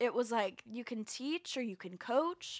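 In a normal speaking voice with an American accent, a woman speaks at a fairly slow pace and a fairly high pitch with lively intonation, on a very clean recording with a silent background. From Florida, Jacksonville. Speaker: singer and voice teacher. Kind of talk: casual chat.

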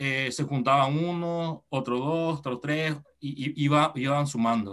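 Set against a quiet background, the speech moves at a very slow pace in a Paraguayan accent with ordinary pitch variation. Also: man. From Paraguay, Encarnación. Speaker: padel federation developer. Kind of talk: interview.

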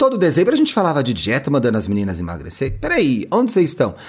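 Heard on a very clean recording with a silent background, a man speaks at a fairly high pitch. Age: 30s. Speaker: podcaster and media consultant. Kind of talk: casual interview chat.

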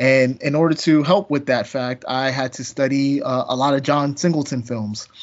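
With a normal speaking voice, a man talks at a moderate pace with hardly any pauses, his fairly high pitch carrying fairly even intonation. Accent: American. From US East Coast. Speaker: comics podcast co-host. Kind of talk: casual chat.

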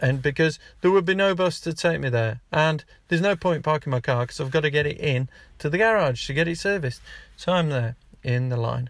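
Somewhat breathy and animated in tone, a man talks at a fairly quick pace in a fairly high pitch with ordinary pitch variation, on a very clean recording with a silent background. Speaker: podcast host. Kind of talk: angry rant. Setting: in a car. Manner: exasperated, ranting; animated, sarcastic.

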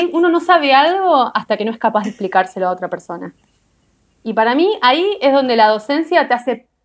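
A woman talks at a high pitch and a moderate pace. Her pitch swings very widely. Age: 30s. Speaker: biochemist and doctoral researcher. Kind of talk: casual interview.

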